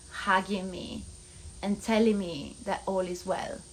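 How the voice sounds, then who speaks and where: A woman with an Italian accent, somewhat breathy, medium in pitch, at a fairly slow pace. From Italy. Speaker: vlogger. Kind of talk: casual vlog monologue.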